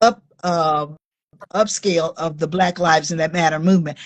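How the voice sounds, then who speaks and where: A woman's fairly low voice with an American accent, a normal speaking voice at a moderate pace with fairly even intonation. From Oakland, California. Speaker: author. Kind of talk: interview. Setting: Instagram live video.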